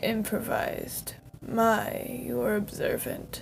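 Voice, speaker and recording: Over clear background noise, a woman does a raspy put-on character voice at a very slow pace. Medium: read story. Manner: smooth, turning menacing.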